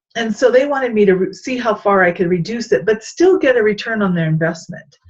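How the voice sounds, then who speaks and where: A woman talks at a fairly quick pace and a fairly high pitch, somewhat breathy, with lively intonation and an animated tone. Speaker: leadership coach. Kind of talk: vlog-style talk on leadership. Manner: fast.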